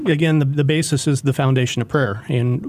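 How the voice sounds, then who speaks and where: A man with an ordinary speaking voice talks at a moderate pace, his pitch fairly high and his intonation fairly even. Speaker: police chaplain. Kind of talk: radio interview. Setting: studio.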